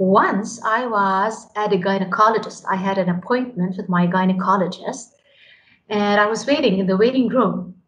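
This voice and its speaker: Audible room echo surrounds a woman speaking at a moderate pace and medium pitch with fairly even intonation. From Lebanon. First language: Arabic. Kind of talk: interview. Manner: hesitant repetitions.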